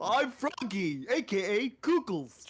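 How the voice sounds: A put-on character voice, fairly high in pitch, with very wide pitch swings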